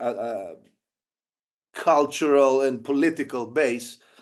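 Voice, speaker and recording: The speaker has a Greek accent and ordinary pitch variation. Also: man, quiet background. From Greece. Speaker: documentary filmmaker and former volunteer soldier. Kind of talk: interview. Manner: halting, many fillers.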